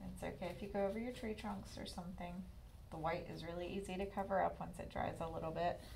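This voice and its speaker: A woman talking at a very fast pace, with noticeable background noise and audible room echo. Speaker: art class instructor. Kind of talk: tutorial.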